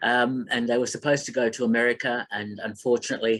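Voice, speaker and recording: A man in a medium pitch, with an Australian accent. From Melbourne, Australia. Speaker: film critic and radio host. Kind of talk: online talk. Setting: online presentation. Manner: halting, many fillers.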